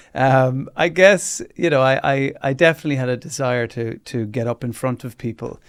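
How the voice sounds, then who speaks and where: Someone with an Irish accent speaks at a moderate pace on a very clean recording with a silent background. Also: man. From rural Ireland. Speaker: radio host and comedian. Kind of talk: interview.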